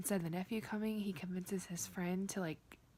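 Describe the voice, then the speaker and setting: A woman speaks quietly. Her voice is somewhat breathy. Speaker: book vlogger. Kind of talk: casual vlog.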